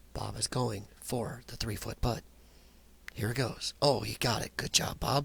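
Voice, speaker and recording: A man whispers quietly in a raspy, put-on character voice. He moves at a moderate pace with long, frequent pauses. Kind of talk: sports announcer commentary. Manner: whispering, hushed.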